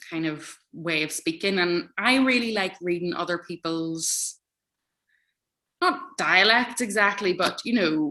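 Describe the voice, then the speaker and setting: With an Irish accent, a woman talks at a fairly slow pace in a bright, sharp tone, at medium pitch with ordinary pitch variation. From Ireland. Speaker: author. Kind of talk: interview. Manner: hesitant, many fillers.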